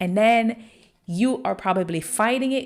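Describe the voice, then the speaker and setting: A woman's voice over noticeable background noise. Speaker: online personal trainer and wellness coach. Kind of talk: podcast monologue. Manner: casual, conversational; slow.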